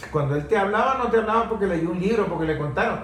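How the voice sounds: A man talks at a fast pace with a high pitch and lively intonation. Room echo is audible.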